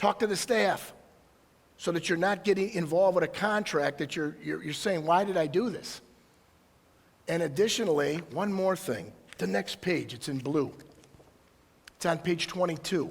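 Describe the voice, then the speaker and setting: A man speaks at a high pitch with lively intonation. He leaves long, frequent pauses. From Michigan, Detroit area. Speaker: county prosecutor. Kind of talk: public presentation. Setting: presentation to audience. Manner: fast; animated.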